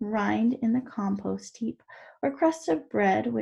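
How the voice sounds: Just a natural reading voice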